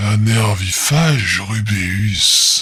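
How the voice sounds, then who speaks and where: A man's raspy put-on character voice, fairly low in pitch. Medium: read story. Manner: terse, flat, clipped.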